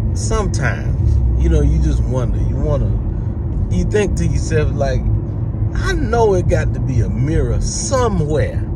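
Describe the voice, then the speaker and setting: A man speaks at a fairly slow pace while loud background noise surrounds him. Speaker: comedian. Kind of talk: comedic commentary. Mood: mock-serious, incredulous. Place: car. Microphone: phone near.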